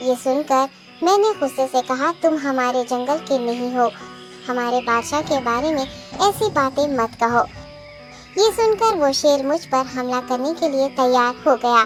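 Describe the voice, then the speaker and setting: Over clear background music, a cartoonish character voice moves at a moderate pace. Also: female-sounding voice. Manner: deferential, smooth.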